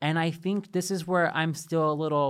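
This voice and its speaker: This very clean recording of a man has a silent background. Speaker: podcast host and editor. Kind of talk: casual chat recap. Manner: fast talker, poor enunciation.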